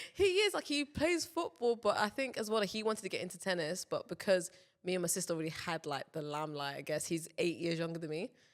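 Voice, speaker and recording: A woman with a London accent, talking at a very fast pace with hardly any pauses. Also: medium pitch for a woman, lively intonation. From London, England. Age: 20s. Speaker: professional tennis player. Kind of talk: casual chat. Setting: studio.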